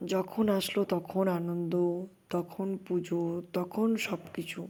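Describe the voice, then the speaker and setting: A woman's dark, mellow voice at medium pitch, monotone and flat, on a very clean recording with a silent background. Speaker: vlogger, army wife and mother. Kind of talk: casual vlog narration.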